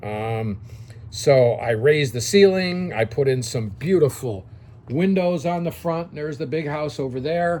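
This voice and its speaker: A man talks at a moderate pace with lively intonation, and room echo is audible. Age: 60s. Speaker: dry cleaning business consultant. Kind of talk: casual video lecture. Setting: home office. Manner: conversational, frequent fillers.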